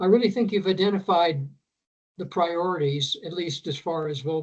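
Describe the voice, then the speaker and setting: Speaking at a fairly slow pace with long, frequent pauses, a man uses a high pitch and ordinary pitch variation. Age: 80s+. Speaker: resident, psychologist. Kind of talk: public meeting comment.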